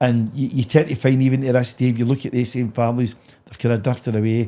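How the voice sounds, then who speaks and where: A man with a west of Scotland accent, a dark, mellow tone, fairly even intonation and a very fast pace. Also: medium pitch for a man. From Scotland, Motherwell area (Mossend), Lanarkshire. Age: 60s. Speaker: charity founder. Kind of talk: podcast interview.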